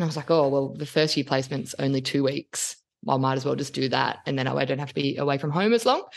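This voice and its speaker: Over a quiet background, a woman speaks very fast with an Australian accent and vocal fry. Her pitch is very deep and low, with ordinary pitch variation. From Sydney, Australia. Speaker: occupational therapist, rural practitioner and podcaster. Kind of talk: casual chat. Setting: video call.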